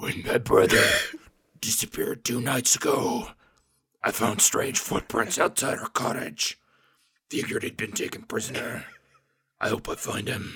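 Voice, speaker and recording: A man puts on a cartoonish character voice that is gruff and raspy. He leaves long, frequent pauses. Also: moderate pace. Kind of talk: anime dub impression. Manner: aggressive, gruff.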